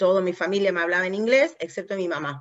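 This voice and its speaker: A woman speaks in an Argentine accent at medium pitch. Her intonation is lively. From US, New Jersey. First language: English (speaking Spanish). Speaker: language competence expert in aviation. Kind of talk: interview conversation.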